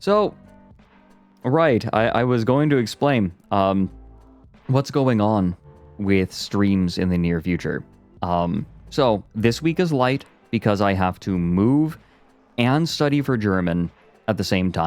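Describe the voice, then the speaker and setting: With music in the background, a man speaks at a very slow pace and fairly low pitch, his intonation lively, his loudness very even, and his pauses long and frequent. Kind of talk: casual, streamer explaining.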